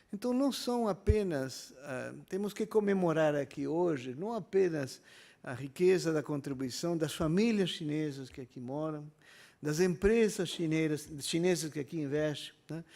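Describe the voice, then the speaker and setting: The speaker talks fairly slowly with an Argentine accent. The intonation is lively and the loudness swings widely. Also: man, fairly high pitch for a man. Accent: foreign accent in Portuguese, Argentine. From Argentina, Buenos Aires. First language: Spanish (speaking Portuguese). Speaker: university professor. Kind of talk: public hearing speech. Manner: hesitant, many fillers.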